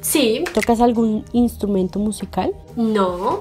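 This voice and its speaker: Faint music plays in the background as a woman speaks. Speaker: vlogger. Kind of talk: casual vlog chat. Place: home room. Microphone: camera far.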